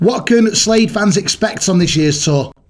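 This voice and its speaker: Noticeable background noise surrounds a man's voice. He speaks at a moderate pace with ordinary pitch variation. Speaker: radio presenter. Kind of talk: radio interview.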